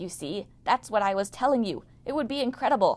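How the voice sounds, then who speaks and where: A soft-spoken woman's put-on character voice, fairly high in pitch, at a fairly quick pace. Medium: read story. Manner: murmuring, mopey.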